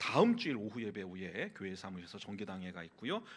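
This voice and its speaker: A man with a normal speaking voice talks at a fairly quick pace. His fairly low pitch carries lively intonation. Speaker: pastor. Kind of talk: church announcements. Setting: church.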